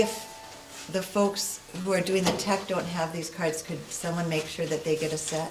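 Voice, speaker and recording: A woman speaks quietly at a fairly low pitch with fairly even intonation. Audible room echo and noticeable background noise are present. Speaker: guest speaker. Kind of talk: interactive workshop presentation.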